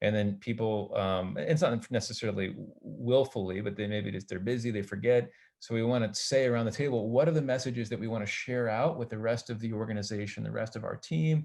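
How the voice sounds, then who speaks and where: A man's medium pitch with ordinary pitch variation at a fairly quick pace. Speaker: business workshop facilitator. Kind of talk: workshop presentation. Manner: fast.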